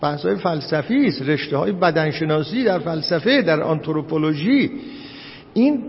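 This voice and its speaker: Noticeable background noise and audible room echo around a man talking at a fairly slow pace. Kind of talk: lecture. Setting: classroom with live audience. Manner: halting.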